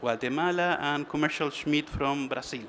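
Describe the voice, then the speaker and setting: With a non-native accent, a man speaks in a fairly high pitch with fairly even intonation. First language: Spanish. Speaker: trade association manager. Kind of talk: conference presentation. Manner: halting.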